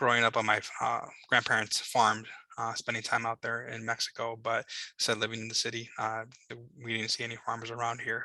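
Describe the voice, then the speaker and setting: Speaking in a Chicago accent at a moderate pace, a man has a medium pitch, a bright, sharp tone and monotone, flat intonation. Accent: Chicago American English. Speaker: government liaison. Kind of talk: information session presentation. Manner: hesitant, many filler words.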